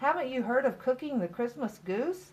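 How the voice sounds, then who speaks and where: At a moderate pace, a woman puts on a character voice pitched high. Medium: read story. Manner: fretful.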